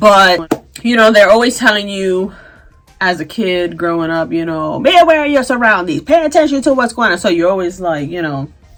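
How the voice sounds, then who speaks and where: A woman speaks at medium pitch and a moderate pace, with very wide pitch swings. Music plays in the background. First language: Spanish. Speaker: beauty and fashion vlogger. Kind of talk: casual vlog chat.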